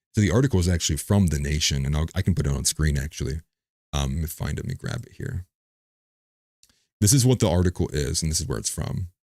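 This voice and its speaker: The voice races at a very fast pace with vocal fry and lively intonation. It sounds dry and close, with no echo. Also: man. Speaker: political commentator livestream host. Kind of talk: casual livestream commentary.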